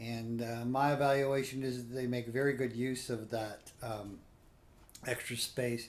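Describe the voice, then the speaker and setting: Heard with audible room echo, a man at medium pitch talks at a fairly slow pace in a flat monotone. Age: 60s. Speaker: cruise reviewer. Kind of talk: spoken review. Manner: halting, many fillers.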